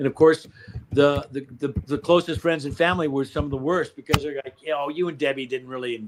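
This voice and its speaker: With a normal speaking voice, a man talks at a fairly quick pace and a fairly high pitch, his intonation fairly even but his loudness swinging widely. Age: 60s. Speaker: company founder. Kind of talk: interview. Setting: live stream.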